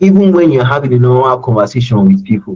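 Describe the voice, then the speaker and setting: At a very fast pace, a man talks with lively intonation at a medium pitch. His tone is dark, mellow and somewhat breathy. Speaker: self-development speaker. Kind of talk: webinar talk. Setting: online webinar. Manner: tends to raise voice when emotional; halting, many repetitions.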